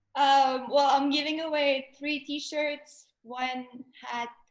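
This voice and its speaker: A woman with a French accent speaks at a very slow pace. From Montreal, Quebec. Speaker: artist. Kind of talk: casual chat. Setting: live stream.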